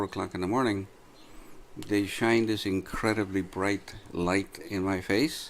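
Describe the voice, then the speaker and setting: An unremarkable speaking voice from a man, fairly low in pitch, moves at a moderate pace with fairly even intonation. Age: 60s. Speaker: man telling of his arrest. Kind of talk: testimony. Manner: earnest.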